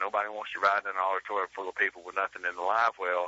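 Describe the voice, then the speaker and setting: The speaker has an Alabama accent. The delivery comes at a very fast pace. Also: man. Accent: Southern US (Alabama). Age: 40s. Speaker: professional bass angler. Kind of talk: interview.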